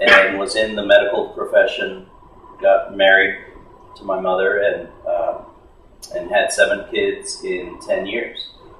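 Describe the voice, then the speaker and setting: A man speaks at a fairly slow pace with long, frequent pauses and big swings in loudness, with noticeable background noise and audible room echo. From San Antonio, Texas (moved from Monterrey at age two). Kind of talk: casual interview.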